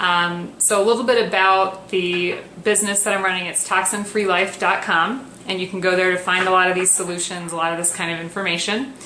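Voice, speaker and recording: A woman talks at a fairly quick pace and medium pitch, with fairly even intonation. Audible room echo and noticeable background noise surround her. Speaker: wellness coach. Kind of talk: tutorial. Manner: soft-spoken; hesitant with fillers.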